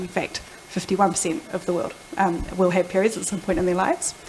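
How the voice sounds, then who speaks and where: Over noticeable background noise, a woman with a New Zealand accent talks at a fairly quick pace. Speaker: product executive. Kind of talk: panel discussion. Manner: fast.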